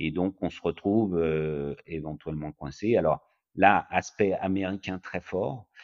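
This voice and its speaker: A very deep, low male voice at a very slow pace, with ordinary pitch variation and big swings in loudness. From France. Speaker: private equity investor. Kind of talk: interview.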